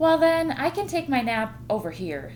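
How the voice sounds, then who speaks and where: Using a put-on character voice, a woman speaks at a high pitch in a raised, projected voice. Her pace is moderate, and there is clear background noise. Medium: read story. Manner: polite, easygoing.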